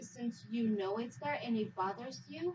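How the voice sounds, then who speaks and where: With a Spanish accent, a woman speaks at a high pitch. Noticeable background noise can be heard. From Mexico. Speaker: immigrant interviewee. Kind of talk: interview.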